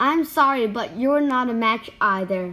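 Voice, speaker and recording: A woman's squeaky, high-pitched put-on character voice at a moderate pace. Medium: read story.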